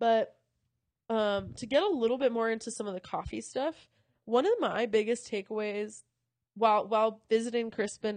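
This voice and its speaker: Against a quiet background, a woman with a fairly high voice speaks in an animated tone at a moderate pace, with ordinary pitch variation. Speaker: podcast host and coffee company sourcing lead. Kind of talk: casual chat. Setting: hotel room, recording while traveling. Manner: casual, animated, laughing often.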